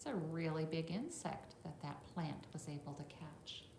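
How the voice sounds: Audible room echo surrounds a voice with vocal fry, lively intonation and a moderate pace. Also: woman, low pitch for a woman.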